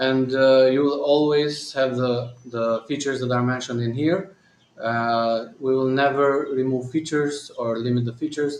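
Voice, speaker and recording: A man speaks at a medium pitch with a slight non-native accent. His intonation is monotone and flat, and his pace is moderate. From Albania. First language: Albanian. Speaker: company founder and CEO. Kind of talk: live Q&A and software demo. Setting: live stream. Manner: hesitant, many fillers.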